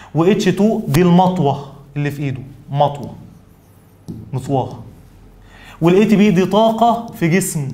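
A man's lively intonation comes through as he talks at a moderate pace. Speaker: biology teacher. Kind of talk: lecture. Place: studio.

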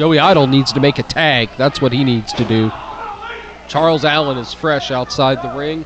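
With noticeable background noise, a man talks at a fairly high pitch and moderate pace, with fairly even intonation. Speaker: wrestler on commentary. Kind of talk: live commentary. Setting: live event arena. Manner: brash and boastful.

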